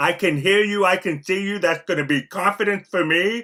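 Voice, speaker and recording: A male speaker, moderately paced, with ordinary rises and falls in pitch. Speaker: clinical therapist and presenter. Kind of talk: online training presentation. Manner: halting, with frequent fillers.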